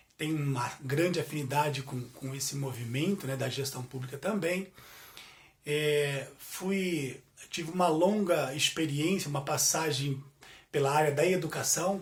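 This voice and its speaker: The man's voice sits fairly high in pitch, moving at a fairly slow pace with ordinary pitch variation. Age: 40s. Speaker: business administrator. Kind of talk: guest lecture. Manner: halting, filler-heavy.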